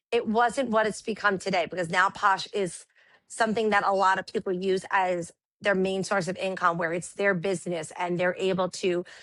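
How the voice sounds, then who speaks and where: A woman with a New York accent speaks at a medium pitch and moderate pace in a monotone, flat intonation, with a quiet background. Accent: New York Brooklyn. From Brooklyn, New York. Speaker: live seller and teacher. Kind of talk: casual interview chat. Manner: loud.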